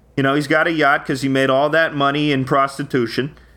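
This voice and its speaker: A man's bright, sharp tone with a Long Island accent. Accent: Long Island, New York. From Long Island, New York. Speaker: comedy podcast co-host.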